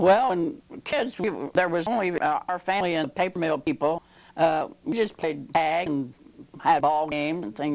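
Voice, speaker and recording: At a fairly quick pace, a woman talks in a fairly low pitch. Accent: Midwestern American. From southwest Ohio. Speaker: local elder interviewee. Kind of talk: oral history interview. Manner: halting.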